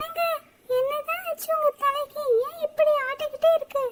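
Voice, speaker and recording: A woman's squeaky, cartoonish character voice at an extremely high pitch, at a moderate pace. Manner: chatty, affectionate nagging.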